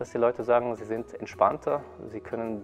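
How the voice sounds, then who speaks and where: Faint music plays behind a man as he talks. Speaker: qigong teacher. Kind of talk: interview answer. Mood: calm, friendly. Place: hall.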